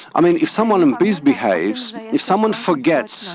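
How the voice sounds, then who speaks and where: A man at a fairly slow pace with very wide pitch swings, amid noticeable background noise. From Poland, Poznań area. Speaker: school teacher or head. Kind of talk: conference panel talk. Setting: conference hall, live stream. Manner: halting, with hesitations.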